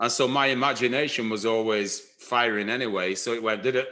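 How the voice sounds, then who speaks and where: The voice has a bright, sharp tone and a Lancashire accent. It moves at a fairly quick pace with fairly even intonation. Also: man. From northern England, Blackburn, Lancashire. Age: 60s. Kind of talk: life story interview. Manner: halting, many fillers and restarts.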